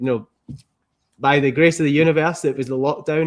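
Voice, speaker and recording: In a Scottish accent, a man talks at a very fast pace with a fairly high voice and fairly even intonation. The sound is dry and close, with no echo. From Scotland. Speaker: entrepreneur, former car mechanic. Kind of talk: interview. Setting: podcast.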